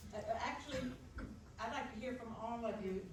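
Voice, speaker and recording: With audible room echo and noticeable background noise, a woman speaks at a fairly high pitch. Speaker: audience member. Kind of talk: audience question. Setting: public forum at microphone. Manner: loud.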